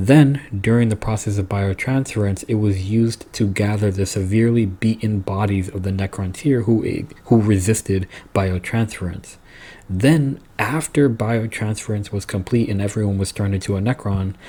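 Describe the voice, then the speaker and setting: Speaking at a moderate pace, a man sounds somewhat breathy and keeps his intonation fairly even. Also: fairly low pitch for a man. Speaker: lore video creator. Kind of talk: lore explainer monologue. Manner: casual with fillers and restarts.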